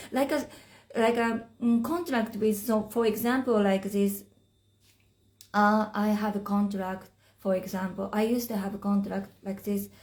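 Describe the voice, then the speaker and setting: Somewhat breathy, a woman with a Japanese accent speaks with long, frequent pauses. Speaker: spiritual teacher. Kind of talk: live stream talk. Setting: Instagram live stream. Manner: halting.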